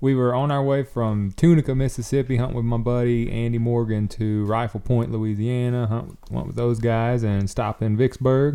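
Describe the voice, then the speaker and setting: With a dark, mellow tone and medium pitch, a man talks at a moderate pace with fairly even intonation. He leaves hardly any pauses. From US South. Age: 30s. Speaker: professional bowhunter. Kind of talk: casual chat.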